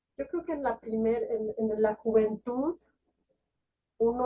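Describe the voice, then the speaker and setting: A woman's fairly high-pitched voice at a fairly slow pace. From Mexico. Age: 60s. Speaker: poet and novelist. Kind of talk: interview conversation. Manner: hesitant, with many fillers and restarts.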